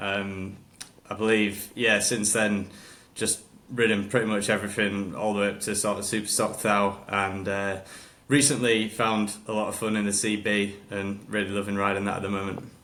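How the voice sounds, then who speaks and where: With a Hull accent, a man speaks in a bright, sharp tone at a fairly low pitch, flat and monotone, with audible room echo. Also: moderate pace. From northern England, Hull. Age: 30s. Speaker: motorcycle racer. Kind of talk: casual chat.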